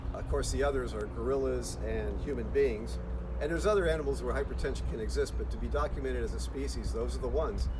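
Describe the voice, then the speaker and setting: Through noticeable background noise and audible room echo, a man talks at a very fast pace. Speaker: zoo director. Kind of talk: live Q&A.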